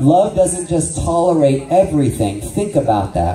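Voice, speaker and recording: Over music in the background, a man talks with audible room echo. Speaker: ministry teacher. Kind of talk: sermon-style training lecture. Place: church.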